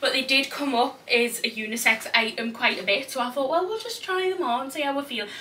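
With a Geordie accent, a woman projects a raised, high voice with lively intonation at a fairly quick pace over light background noise. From Newcastle, North East England. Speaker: fashion vlogger. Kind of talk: casual talk to camera. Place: home room. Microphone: camera far.

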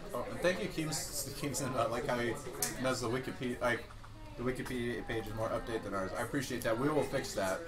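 Fairly quick male speech against noticeable background noise. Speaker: stream host. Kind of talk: casual livestream wrap-up chat. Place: home room.

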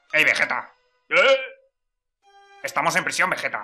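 Over faint background music, a man puts on a character voice pitched high for a man. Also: moderate pace.

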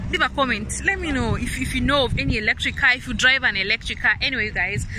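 With noticeable background noise, a woman talks at a fairly quick pace in a high pitch. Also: dry sound with no echo. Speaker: vlogger. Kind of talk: casual vlog chat. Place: street. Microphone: phone near.

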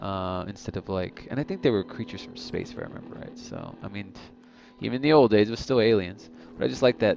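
A man at a fairly quick pace, dry with no echo, over noticeable background noise. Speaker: gamer. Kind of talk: gameplay commentary.

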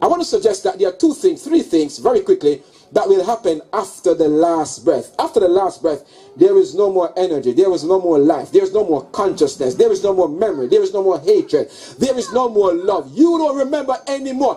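A man speaks at a fairly quick pace. Faint music sits in the background. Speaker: preacher at a funeral. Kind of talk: sermon. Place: tent. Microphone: handheld.

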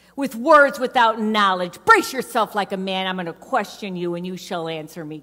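A woman uses a booming, put-on character voice at medium pitch. She speaks at a moderate pace with hardly any pauses. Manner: commanding, thundering.

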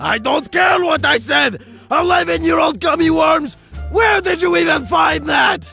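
Faint music plays in the background as a man, in a put-on character voice, talks at a fairly slow pace. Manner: grumpy, exasperated, sneering.

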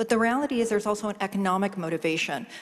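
At a very fast pace, a woman talks at a medium pitch with ordinary pitch variation.

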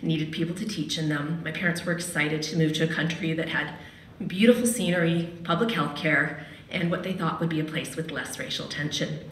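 Fairly low in pitch for a woman, her voice carries fairly even intonation at a fairly quick pace. Audible room echo fills the recording. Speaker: radio host and storyteller. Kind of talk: personal storytelling at a live event. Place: hall. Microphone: podium.

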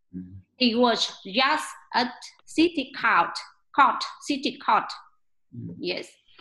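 At a very slow pace, a woman with a Vietnamese accent speaks in a high pitch with a bright, sharp tone. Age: 40s. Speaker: English learner. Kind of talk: prepared speech practice. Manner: halting. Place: home room. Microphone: webcam.

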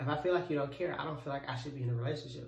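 A man speaks with ordinary pitch variation. Audible room echo surrounds his voice. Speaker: vlogger. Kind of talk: casual vlog chat, relationship advice. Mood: earnest, calm. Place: home room. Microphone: phone near.

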